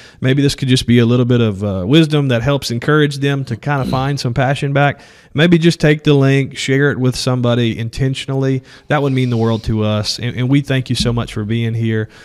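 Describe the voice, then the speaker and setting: A man with a plain, everyday voice speaks at a fairly quick pace, medium pitch and fairly even intonation, on a very clean recording with a silent background. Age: 30s. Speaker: podcast co-host, real estate agent. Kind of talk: casual chat.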